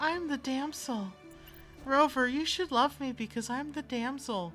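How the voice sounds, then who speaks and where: A female-sounding, breathy, put-on character voice at a high pitch moves at a moderate pace over clear music in the background. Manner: slow and soft.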